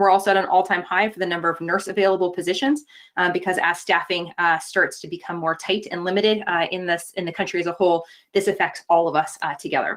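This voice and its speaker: A woman at a very fast pace with fairly even intonation, on a very clean recording with a silent background. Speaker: public health doctor. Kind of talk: presentation with slides.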